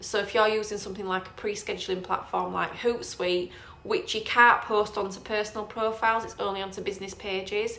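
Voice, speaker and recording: A woman's medium-pitched voice with a northern English accent, monotone and flat, at a fairly quick pace with hardly any pauses. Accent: northern English twang. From northern England. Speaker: property investor and trainer. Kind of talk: live Q&A tutorial. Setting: Facebook live stream. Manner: casual, hesitant with fillers.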